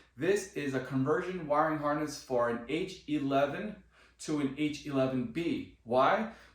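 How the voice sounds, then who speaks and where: The tone is enthusiastic, the pace moderate, with ordinary pitch variation. Audible room echo surrounds the voice. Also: man, fairly high pitch for a man. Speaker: car DIY video creator. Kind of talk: tutorial. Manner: loud; casual, enthusiastic.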